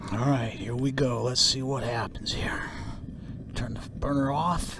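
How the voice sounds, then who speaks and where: With audible room echo and noticeable background noise, a man of medium pitch speaks at a fairly slow pace with fairly even intonation. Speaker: YouTube hobbyist metal refiner. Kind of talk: hands-on tutorial narration.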